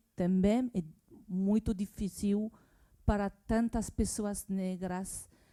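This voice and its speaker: A woman with a French accent and a dark, mellow tone is heard in a very clean recording with a silent background. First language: French (speaking Portuguese). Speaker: symposium audience member. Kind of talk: public discussion remarks. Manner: halting.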